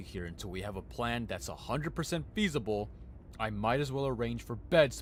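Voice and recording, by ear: This is reading aloud in a natural voice with lively intonation.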